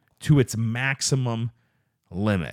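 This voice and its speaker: Medium pitch from a man, on a very clean recording with a silent background and a dry, close sound with no echo. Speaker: podcast host. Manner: varied up-and-down inflection.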